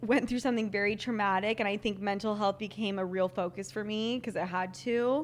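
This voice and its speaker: Here a woman speaks with a fairly high pitch. Her pitch varies in an ordinary way. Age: 20s. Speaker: podcaster. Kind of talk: casual interview. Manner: upspeak, everything sounds like a question.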